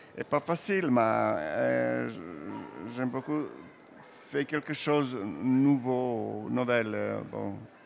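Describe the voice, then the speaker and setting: Music plays in the background as a man speaks. He goes at a very slow pace with long, frequent pauses. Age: old. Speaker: comic book artist. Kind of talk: interview while drawing. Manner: halting.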